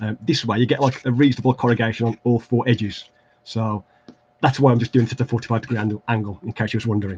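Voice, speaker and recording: Over light background noise, a man with a medium-pitched, somewhat breathy voice and an English Midlands accent talks at a very fast pace. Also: fairly even intonation. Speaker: terrain crafting YouTuber. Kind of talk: livestream crafting tutorial. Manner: hesitant, many fillers.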